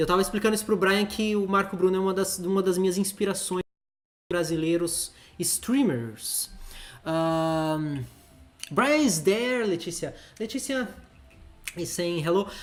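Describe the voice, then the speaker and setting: With music in the background, a man with a Brazilian accent speaks at a high pitch and fairly slow pace, using ordinary pitch variation and long, frequent pauses. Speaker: streamer. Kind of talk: live stream chat.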